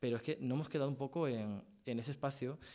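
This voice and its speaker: Talking very fast, a man at medium pitch has a dark, mellow tone and ordinary pitch variation. The recording is very clean, with a silent background. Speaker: panel speaker at public talk. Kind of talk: panel discussion reply. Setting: theatre stage with audience.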